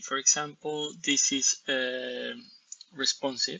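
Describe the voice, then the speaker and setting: A man talks with a Spanish accent. His pace is very slow. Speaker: software developer. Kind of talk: software demo. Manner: halting, frequent repetitions.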